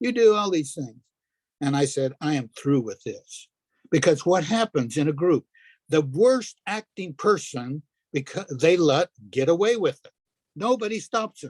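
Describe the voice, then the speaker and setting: A high-pitched man with an American accent and very wide pitch swings, in a dry, close sound with no echo. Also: big swings in loudness. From Arizona. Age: 70s. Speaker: retiree and poet. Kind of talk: casual interview chat. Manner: halting.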